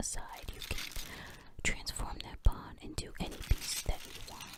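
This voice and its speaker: The voice is a whisper. Background noise is noticeable throughout. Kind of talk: ASMR chess tutorial. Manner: whispered.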